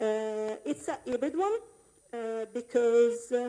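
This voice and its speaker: Speaking fairly slowly with an Italian accent, a woman has a fairly high pitch and a dark, mellow tone. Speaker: game UI programmer. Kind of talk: conference talk. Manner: halting, many fillers; improvised.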